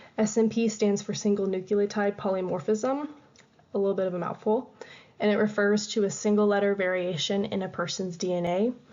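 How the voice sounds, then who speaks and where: Fairly quick, medium-pitched speech from a woman with fairly even intonation. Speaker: student presenter. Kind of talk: class presentation. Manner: fast; halting.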